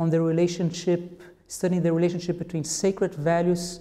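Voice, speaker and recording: A man speaks in a high voice with a Portuguese accent. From Brazil. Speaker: cognitive anthropologist. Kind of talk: interview. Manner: halting, with many fillers and repetitions.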